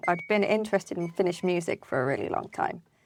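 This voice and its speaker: A woman with a British accent speaks at a fairly low pitch. The recording is very clean, with a silent background. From UK. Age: 30s. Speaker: project manager. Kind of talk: casual interview chat.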